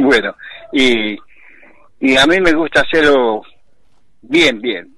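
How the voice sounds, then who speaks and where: Keeping a very even loudness, a man at medium pitch speaks at a very slow pace with ordinary pitch variation and long, frequent pauses. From Santiago del Estero, Argentina. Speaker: basket weaver artisan. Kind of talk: casual interview.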